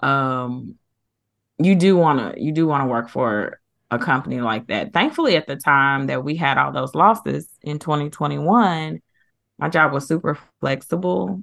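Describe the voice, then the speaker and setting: A woman's very deep, low voice with vocal fry, lively intonation and a moderate pace. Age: 40s. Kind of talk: casual chat. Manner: animated.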